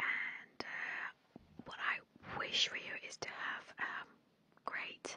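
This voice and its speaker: The voice of a woman comes through in a whisper. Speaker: ASMR creator. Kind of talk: casual soft-spoken ASMR chat. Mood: warm, playful, gentle. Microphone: studio mic.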